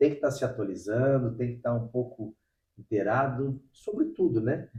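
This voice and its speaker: The voice is somewhat breathy with a dark, mellow tone, moving at a moderate pace with fairly even intonation and big swings in loudness. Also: man, medium pitch for a man. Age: 40s. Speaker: podcast host. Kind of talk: casual interview chat. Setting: at the guest's home.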